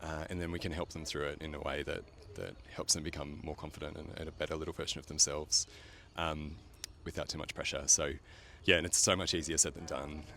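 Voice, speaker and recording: With an Australian accent, a man speaks very fast in a very deep, low voice, his tone bright and sharp and his intonation monotone and flat. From rural Australia. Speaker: paediatrician. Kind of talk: casual street interview. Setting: outdoors on the street. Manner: hesitant, many fillers.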